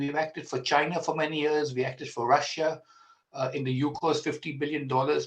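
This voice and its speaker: A man's somewhat breathy, fairly high voice with fairly even intonation and an Indian accent. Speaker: senior solicitor, law firm founder. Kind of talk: speech. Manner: halting.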